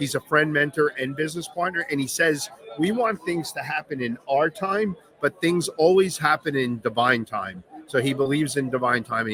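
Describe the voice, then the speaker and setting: A man with a Long Island accent, fairly high pitch, lively intonation and a moderate pace. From Long Island, New York. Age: 50s. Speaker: veteran business owner. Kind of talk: on-stage interview. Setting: stage with audience.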